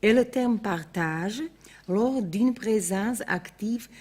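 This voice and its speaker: Somewhat breathy and very slow, a woman speaks at a medium pitch with lively intonation on a very clean recording with a silent background. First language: Slovak (speaking French). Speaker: art historian. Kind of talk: lecture. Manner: formal.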